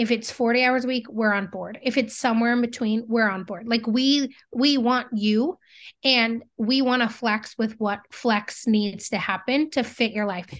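A woman with a normal speaking voice talks at a moderate pace against a quiet background, her fairly high pitch held in fairly even intonation. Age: 30s. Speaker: business owner and CEO in agricultural marketing. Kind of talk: casual interview.

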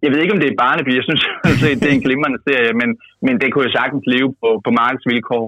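This man talks very fast at a medium pitch, with ordinary pitch variation. His loudness stays very even throughout. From Denmark, Jutland. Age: 20s. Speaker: youth party leader, politician. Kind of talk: interview. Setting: phone call.

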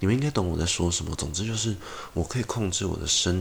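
A somewhat breathy male voice at a very fast pace, with ordinary pitch variation. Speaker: podcast host. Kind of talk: casual monologue.

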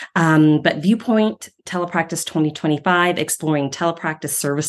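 An ordinary speaking voice from a woman with an American accent, fairly low in pitch, with ordinary pitch variation and a quiet background. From Ohio, US Midwest. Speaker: speech-language pathology professor. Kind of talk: interview conversation.

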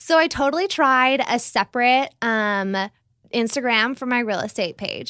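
A woman with an American accent speaks at a moderate pace, her high-pitched voice bright and sharp in tone with lively intonation, on a very clean recording with a silent background. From California. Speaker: realtor. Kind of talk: casual interview.

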